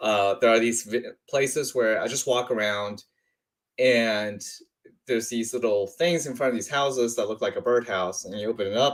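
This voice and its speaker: On a very clean recording with a silent background, a man with an unremarkable speaking voice talks at a moderate pace in a medium pitch. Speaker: audiobook reader. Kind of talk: casual talk to camera.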